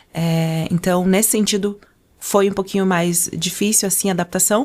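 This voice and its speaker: Recorded very cleanly against a silent background, a woman speaks at a medium pitch with fairly even intonation and very even loudness. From Angola. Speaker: podcast guest, communication trainer and former model. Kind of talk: casual interview chat. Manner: fast.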